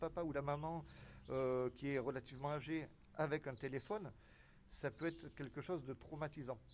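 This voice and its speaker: Against light background noise, a man with a fairly high voice speaks at a moderate pace. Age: 40s. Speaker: civil protection volunteer. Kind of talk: interview. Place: street. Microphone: handheld.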